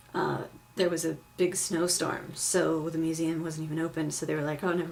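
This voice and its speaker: In a room with audible echo, a woman talks at a fairly quick pace, her fairly low voice monotone and flat. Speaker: vlogger. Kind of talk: casual vlog. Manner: fast; filler-heavy, lots of um and like.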